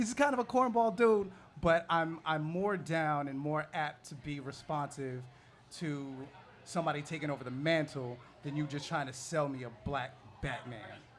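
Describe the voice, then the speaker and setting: A man's fairly high voice at a moderate pace, broken by long, frequent pauses. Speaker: comic book panelist. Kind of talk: live panel discussion. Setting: bar with live audience.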